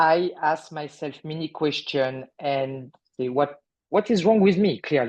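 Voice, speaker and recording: A voice with a French accent against a quiet background. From France. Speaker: artist sharing healing story. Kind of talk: interview testimony. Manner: halting.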